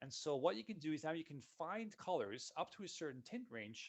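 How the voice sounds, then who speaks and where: A man at a moderate pace, upbeat in tone, with very wide pitch swings. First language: Dutch. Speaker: software solutions consultant. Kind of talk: webinar software demo. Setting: online webinar. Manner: casual, upbeat.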